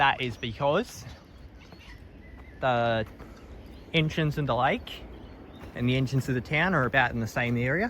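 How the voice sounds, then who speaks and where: With a slight Australian accent, a man talks with ordinary pitch variation and long, frequent pauses. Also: medium pitch for a man, moderate pace. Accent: weak Australian. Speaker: vlogger. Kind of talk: casual vlog narration. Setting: outdoors, on a bush walk.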